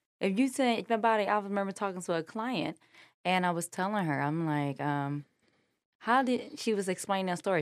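A woman with an unremarkable speaking voice and lively intonation, on a very clean recording with a silent background. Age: young. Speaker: head of support at a mental health gym. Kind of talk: casual chat.

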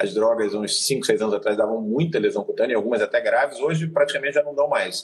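This man talks very fast. Pauses are almost absent. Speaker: physician. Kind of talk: educational live stream chat. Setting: video live stream.

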